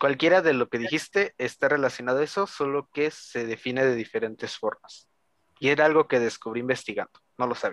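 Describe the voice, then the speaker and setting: With a Mexican accent, a man talks at a fairly quick pace in a fairly high pitch, the sound dry and close with no echo. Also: ordinary pitch variation. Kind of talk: casual chat.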